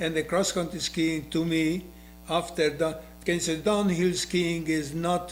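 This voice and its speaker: A man with a Hungarian accent, high pitch, monotone, flat intonation and a very slow pace, over noticeable background noise. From Hungary. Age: 80s+. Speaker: retired skier and windsurfer. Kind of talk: interview. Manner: halting.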